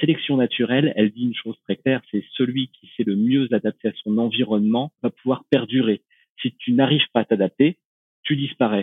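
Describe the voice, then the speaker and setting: A man with a medium pitch speaks at a moderate pace, his intonation fairly even while his loudness swings widely. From rural France. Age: 30s. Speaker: renewable energy researcher. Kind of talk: podcast interview. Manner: hesitant, many fillers.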